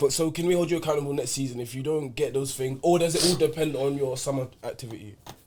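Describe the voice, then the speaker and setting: Over noticeable background noise, a man with a fairly high pitch rushes along at a very fast pace with hardly any pauses and fairly even intonation. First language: Yoruba. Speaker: football podcast host. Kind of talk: casual chat. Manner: loud.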